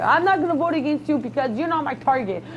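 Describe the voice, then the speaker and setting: Over noticeable background noise, the woman's speech moves fairly quickly. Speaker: reality show contestant. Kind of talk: heated venting in casual chat.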